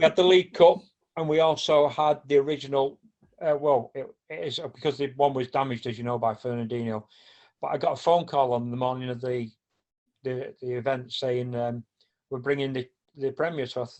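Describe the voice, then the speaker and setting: In a Mancunian accent, a man talks at a fairly quick pace with fairly even intonation. He leaves long, frequent pauses. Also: medium pitch for a man. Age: 60s. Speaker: football supporter and charity organiser. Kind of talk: casual chat. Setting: podcast.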